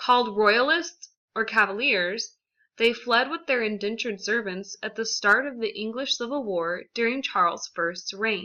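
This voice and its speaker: In an American accent, the woman talks with a fairly high pitch. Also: ordinary pitch variation, moderate pace. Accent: leveled Southern accent, slips back. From South Texas. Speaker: student. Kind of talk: class presentation. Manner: scripted reading.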